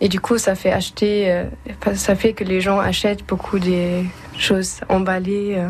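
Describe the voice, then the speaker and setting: The speaker talks at a very slow pace in a German accent. The intonation is monotone and flat, with noticeable background noise. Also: woman, medium pitch for a woman. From Germany, Bremen. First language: German (speaking French). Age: young. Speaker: European civic service volunteer. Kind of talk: interview. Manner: halting.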